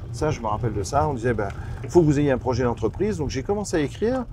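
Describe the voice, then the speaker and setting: A medium-pitched man at a very fast pace, with very wide pitch swings and noticeable background noise. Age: 60s. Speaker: business founder. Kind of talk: interview. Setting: outdoors on a farm. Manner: hesitant, many fillers and repetitions.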